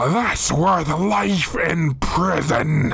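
The voice sits at a middle pitch. It is a put-on character voice. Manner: indignant, shouting, threatening.

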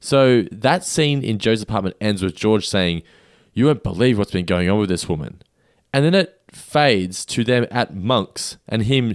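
A man with an unremarkable speaking voice talks at a moderate pace, his intonation lively, in a very clean recording with a silent background. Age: 30s. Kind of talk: casual chat.

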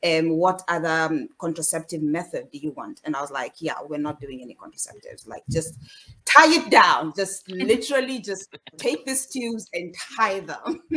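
The voice belongs to a woman, a normal speaking voice with fairly low pitch. She speaks at a moderate pace. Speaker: panellist. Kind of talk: panel discussion. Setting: video call.

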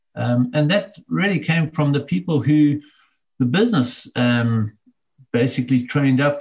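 This man's voice is somewhat breathy and fairly high in pitch, with lively intonation, very even loudness and a moderate pace. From South Africa, KwaZulu-Natal. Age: 50s. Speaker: business owner. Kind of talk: interview.

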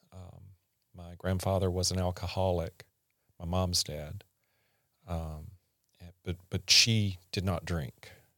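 A man's very deep, low voice in a Southern US accent, bright and sharp in tone, monotone and flat, very slow with long, frequent pauses and big swings in loudness, on a very clean recording with a silent background. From US South, rural Mississippi. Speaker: podcast guest, host's husband. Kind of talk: casual interview, life story. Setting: studio.

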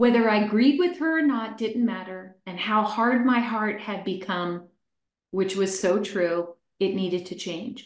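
With an American accent, a woman uses a normal speaking voice at a fairly high pitch, ordinary pitch variation and a fairly slow pace. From Pennsylvania, US. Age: 60s. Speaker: life coach and educator. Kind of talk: testimony.

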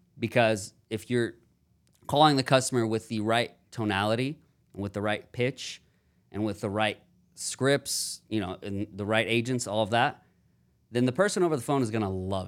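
An ordinary speaking voice from a man at medium pitch and moderate pace, with ordinary pitch variation on a very clean recording with a silent background. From Houston, Texas. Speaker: call center business owner. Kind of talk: casual interview. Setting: studio.

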